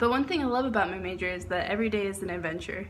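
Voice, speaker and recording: Speaking at a very fast pace, a woman is heard with audible room echo. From Texas (Dallas), early childhood near Chicago. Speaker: university student. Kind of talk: class speech of self-introduction. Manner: casual, with fillers.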